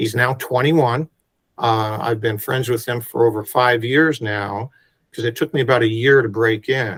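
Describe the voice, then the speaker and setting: Recorded very cleanly against a silent background, a man has an ordinary speaking voice at a medium pitch. He talks at a fairly slow pace with fairly even intonation. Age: 60s. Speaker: photographer. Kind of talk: interview.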